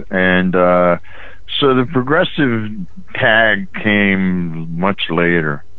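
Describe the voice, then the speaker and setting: Speaking at a very slow pace with an American accent and ordinary pitch variation, the voice comes through audible room echo and noticeable background noise. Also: man, very deep, low pitch for a man. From West Virginia (Weirton area). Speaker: rock musician and songwriter. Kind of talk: interview. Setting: phone call.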